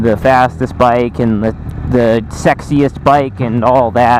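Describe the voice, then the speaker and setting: At a very slow pace with ordinary pitch variation, the voice comes through noticeable background noise. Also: man. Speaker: motorcycle vlogger. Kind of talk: casual vlog review.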